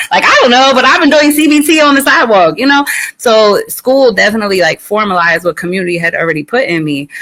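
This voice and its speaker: Very fast speech with very wide pitch swings against noticeable background noise. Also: woman, high pitch for a woman. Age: 40s. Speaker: social worker. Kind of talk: panel discussion. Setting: live streamed show.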